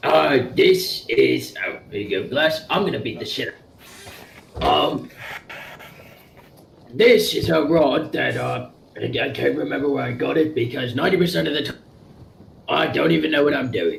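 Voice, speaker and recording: A man uses a raspy, put-on character voice, moving at a moderate pace with long, frequent pauses. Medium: actual play. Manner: rambling, crude.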